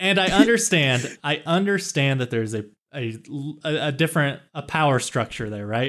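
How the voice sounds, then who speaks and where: On a very clean recording with a silent background, an unremarkable speaking voice in an American accent proceeds at a moderate pace. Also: man, fairly high pitch for a man. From US Midwest, Kansas small town. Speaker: podcast co-host. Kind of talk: casual chat.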